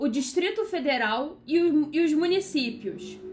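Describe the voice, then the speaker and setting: A woman speaks in a Carioca accent at a very slow pace. Audible room echo surrounds her voice. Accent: carioca accent, still noticeable. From Brazil, Rio de Janeiro. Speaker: law teacher. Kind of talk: lecture. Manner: casual, conversational with fillers.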